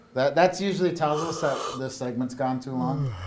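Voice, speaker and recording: A man's medium-pitched voice in an American accent at a moderate pace, with audible room echo and noticeable background noise. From southern Minnesota. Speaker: comedy show host. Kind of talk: comedic banter. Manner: animated.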